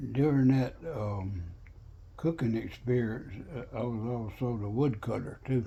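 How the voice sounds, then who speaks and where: A man with a Southern US accent speaks fairly slowly in a somewhat breathy voice with a dark, mellow tone, medium pitch and ordinary pitch variation, with audible room echo. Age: 90s. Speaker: war veteran. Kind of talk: oral history interview. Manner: halting.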